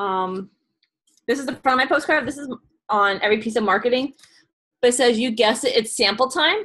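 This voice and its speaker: High-pitched woman with a New York accent, bright and sharp in tone, at a fairly quick pace broken by long, frequent pauses. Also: ordinary pitch variation. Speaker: direct sales consultant. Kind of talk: video call presentation. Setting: video call. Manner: fast.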